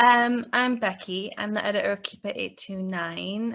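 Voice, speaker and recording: A woman speaks in a slight Newcastle accent at a medium pitch. Her intonation is lively. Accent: Newcastle (Geordie) English, slight. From northern England, Newcastle. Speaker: book editor. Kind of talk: interview.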